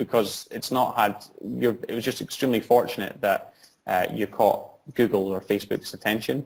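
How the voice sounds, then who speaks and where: A man's medium-pitched voice in a Scottish accent, with vocal fry, fairly even intonation and a moderate pace. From Scotland. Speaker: social entrepreneur, founder. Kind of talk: interview answer.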